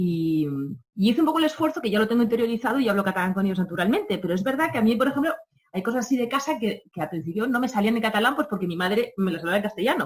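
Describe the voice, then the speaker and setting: Her pitch fairly high and swinging very widely, a woman talks at a very fast pace in a somewhat breathy voice. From Catalonia. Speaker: radio program director. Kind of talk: interview. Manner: halting, with many fillers and repetitions.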